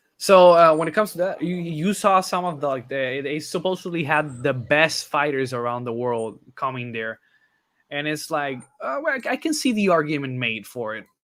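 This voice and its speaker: In a very clean recording with a silent background, a man with a plain, everyday voice speaks at a moderate pace, his fairly high pitch carried by lively intonation. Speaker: YouTube reaction channel host. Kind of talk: casual chat.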